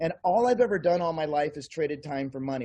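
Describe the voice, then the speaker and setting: With a quiet background, a man in a normal speaking voice talks at a fairly quick pace and a fairly high pitch. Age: 60s. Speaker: network marketing distributor, kung fu master and massage therapist. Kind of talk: interview.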